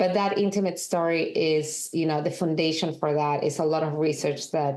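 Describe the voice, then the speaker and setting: A woman talks at a moderate pace with a strong Peruvian accent and a very deep, low pitch. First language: Spanish. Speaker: documentary director and film editor. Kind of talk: interview.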